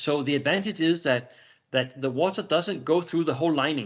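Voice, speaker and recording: This man speaks with a Danish accent. His voice sits fairly high, with ordinary pitch variation. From Denmark. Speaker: company executive presenting a product. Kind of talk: webinar Q&A. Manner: halting, with many repetitions and fillers.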